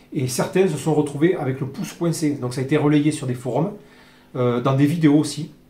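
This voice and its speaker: Audible room echo surrounds a man speaking at a fairly quick pace and a fairly high pitch. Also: fairly even intonation. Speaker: airgun reviewer. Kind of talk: product review tutorial. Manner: fast; hesitant, many fillers.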